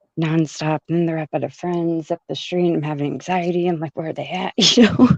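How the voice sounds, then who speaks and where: A soft-spoken woman's dark, mellow voice at a fairly low pitch, very fast in pace, with fairly even intonation and a dry, close sound with no echo. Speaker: caller. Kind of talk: casual chat.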